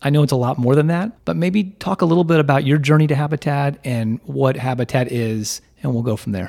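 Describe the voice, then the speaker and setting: A man with a fairly high pitch and a dark, mellow tone talks fairly quickly. His intonation is lively, and he hardly pauses. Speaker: radio host and banker. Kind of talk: casual interview. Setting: studio.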